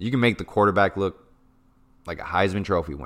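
In a very clean recording with a silent background, a man speaks with an American accent. His fairly low pitch has a bright, sharp, animated tone and ordinary pitch variation. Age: 20s. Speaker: sports podcast host. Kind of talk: sports analysis monologue.

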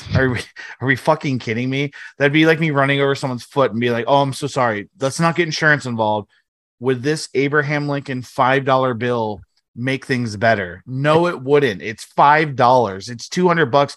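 An animated voice with ordinary pitch variation moves at a fairly quick pace over a quiet background. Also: man, medium pitch for a man. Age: 30s. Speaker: sports podcast co-host. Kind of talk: casual chat.

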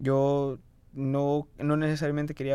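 A man speaks at a medium pitch. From Fort Myers, Florida, US. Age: 20s. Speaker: interviewee sharing coming-out story. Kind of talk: testimony. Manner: code-switching between Spanish and English.

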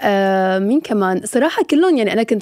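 A woman's medium-pitched voice has a dark, mellow tone, dry and close with no echo, on a very clean recording with a silent background. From Syria. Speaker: TV presenter and influencer. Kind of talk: casual chat.

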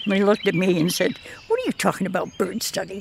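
Noticeable background noise behind a woman at a moderate pace, her pitch medium, with ordinary pitch variation. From Block Island, Rhode Island. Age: 90s. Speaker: island resident. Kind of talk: interview.

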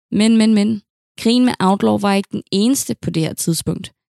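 A woman's medium-pitched voice with ordinary pitch variation, dry and close with no echo. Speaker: historian podcast host. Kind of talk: true-crime narration. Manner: dramatic, gripping storytelling; measured, deliberate, serious.

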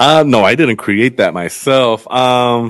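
A man speaks at a medium pitch. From Los Angeles (Inglewood and Culver City), Mexican family from Zacatecas. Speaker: food journalist. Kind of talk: casual interview. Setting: podcast. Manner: casual, many fillers.

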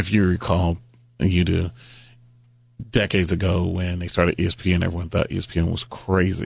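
A man's very deep, low, somewhat breathy voice, monotone and flat, at a fairly quick pace with long, frequent pauses against a quiet background. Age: 50s. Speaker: sports team owner. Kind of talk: interview.

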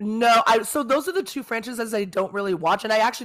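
A woman with an American accent and an ordinary speaking voice, lively intonation, and a fairly quick pace, in a very clean recording with a silent background. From South Bay, Los Angeles, California. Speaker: podcast host. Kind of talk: casual chat.

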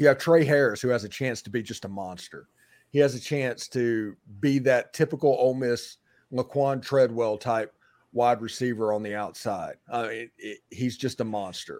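On a very clean recording with a silent background, a man uses a normal speaking voice at a moderate pace with ordinary pitch variation. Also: medium pitch for a man, big swings in loudness. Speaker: podcast co-host. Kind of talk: casual sports talk show banter.

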